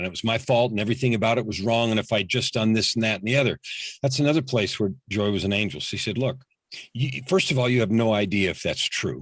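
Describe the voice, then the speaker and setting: Against a quiet background, a man of medium pitch speaks very fast in an intense, energetic tone with ordinary pitch variation. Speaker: executive coach and motivational speaker. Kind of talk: podcast interview.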